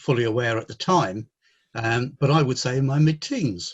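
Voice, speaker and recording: A man with an English accent, somewhat breathy, at medium pitch and a moderate pace, with ordinary pitch variation. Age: 60s. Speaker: mental health consultant. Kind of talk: interview.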